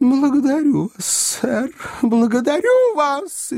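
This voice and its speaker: A put-on character voice, high in pitch and fairly slow in pace. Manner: hysterical, shrill.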